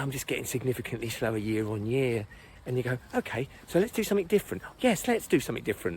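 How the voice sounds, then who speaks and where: A man with an English accent speaks at medium pitch with lively intonation. His pace is very fast. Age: 60s. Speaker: running coach. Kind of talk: casual talk to camera.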